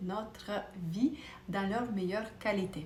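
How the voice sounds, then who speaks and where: In a room with audible echo and noticeable background noise, a woman speaks with a non-native accent. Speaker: optician, vision educator. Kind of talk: educational talk to camera. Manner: hesitant, with fillers.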